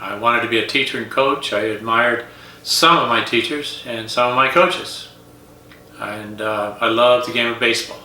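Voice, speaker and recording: With an American accent, a man talks at a moderate pace and medium pitch with ordinary pitch variation, while noticeable background noise and audible room echo fill the recording. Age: 70s. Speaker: retired teacher, coach and golf instructor. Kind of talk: casual vlog monologue.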